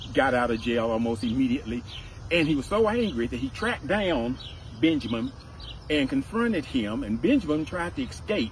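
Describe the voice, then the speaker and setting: A man speaks with lively intonation over light background noise. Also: dry sound with no echo. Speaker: community advocate tour guide. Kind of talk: guided tour storytelling. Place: open country. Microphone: camera far.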